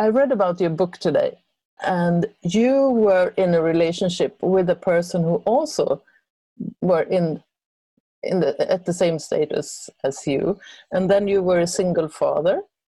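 With a Swedish accent, a woman speaks at a fairly slow pace and medium pitch, with very even loudness and ordinary pitch variation. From Sweden. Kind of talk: interview. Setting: video call.

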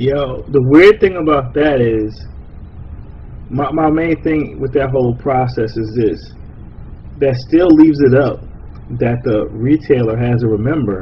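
A man speaks at a medium pitch with ordinary pitch variation and a fairly slow pace. Long, frequent pauses break up his speech over noticeable background noise. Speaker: podcast host. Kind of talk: casual chat.

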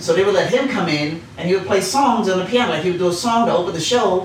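Words come out at a very fast rate. Behind them, background noise is noticeable. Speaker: stand-up comedian. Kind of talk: casual chat. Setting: room at a golf fundraiser.

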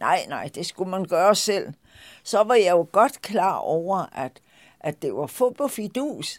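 Against a very clean recording with a silent background, a woman speaks at a very slow pace. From Denmark, Lolland. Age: 80s+. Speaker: shop owner. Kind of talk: personal storytelling.

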